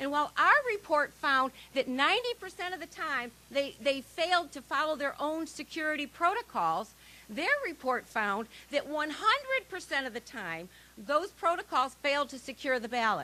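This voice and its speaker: Over noticeable background noise, a woman with an American accent speaks in a raised, projected, high voice at a moderate pace, her pitch swinging very widely. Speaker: election integrity activist. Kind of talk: rally speech. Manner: animated.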